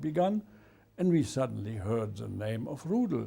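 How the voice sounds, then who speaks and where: Music can be heard behind the voice. The pace is fairly slow. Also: man. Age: 80s+. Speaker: war veteran. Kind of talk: interview. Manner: halting.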